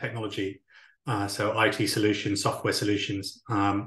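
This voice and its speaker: Against a quiet background, a man with a British accent speaks at a moderate pace in a bright, sharp tone. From UK. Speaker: talent acquisition leader. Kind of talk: interview.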